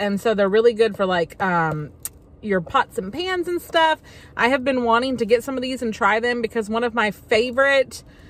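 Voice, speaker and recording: The woman's voice sounds dry, with no echo. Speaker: haul vlogger. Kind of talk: casual vlog chat. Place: car.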